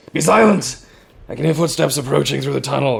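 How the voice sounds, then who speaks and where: Growling and raspy, a man does a put-on character voice at a fairly high pitch and a very fast pace. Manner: growled, hushed.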